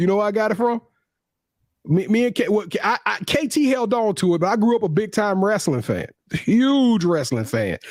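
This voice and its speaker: On a very clean recording with a silent background, a man with a high pitch talks at a moderate pace, his intonation lively and his loudness very even. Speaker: sports talk show co-host. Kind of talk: casual chat. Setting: live stream.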